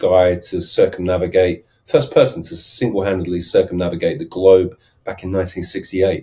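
With a southern English accent, a man talks at a moderate pace in a fairly low pitch, his tone dark and mellow. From London, then English south coast. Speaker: startup advisor and sales consultant. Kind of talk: casual interview chat.

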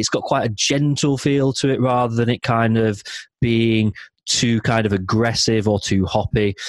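With a South Yorkshire accent, a man speaks at medium pitch and a moderate pace, his intonation fairly even. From South Yorkshire, Barnsley. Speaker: beer podcast host. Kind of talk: casual chat.

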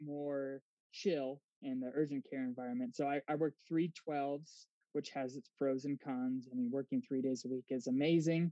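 A man with an unremarkable speaking voice talks at a moderate pace. His pitch is fairly high, with ordinary variation. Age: 30s. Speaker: physician assistant. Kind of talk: casual interview.

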